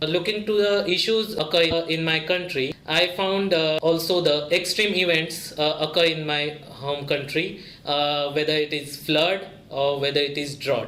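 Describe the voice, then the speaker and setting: A man with an Indian accent speaks at a moderate pace, fairly high in pitch with fairly even intonation. Audible room echo and noticeable background noise are present. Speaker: graduate student. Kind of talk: interview testimony. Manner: halting, many filler sounds.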